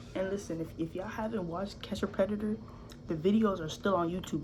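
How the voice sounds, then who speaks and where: A woman's animated voice at a fairly low pitch, with audible room echo and noticeable background noise. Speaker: YouTuber reacting to videos. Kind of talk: casual reaction commentary.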